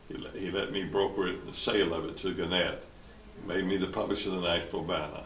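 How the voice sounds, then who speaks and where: A man speaks very fast in a Tennessee accent, his pitch very deep and low. His intonation stays flat and monotone, and the room echo is audible. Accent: US Southern (Tennessee). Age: 80s+. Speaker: lawyer and former newspaper publisher. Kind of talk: interview. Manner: halting, many repetitions and fillers.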